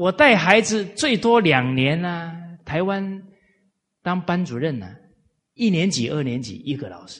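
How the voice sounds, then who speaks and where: A high male voice with lively intonation, a fairly slow pace, long, frequent pauses and audible room echo. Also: big swings in loudness. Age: 40s. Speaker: lecturer on Confucian classics. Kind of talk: lecture. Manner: frequent filler particles.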